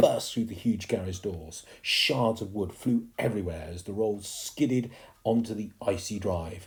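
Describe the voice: The intonation is lively. The delivery is plain reading aloud.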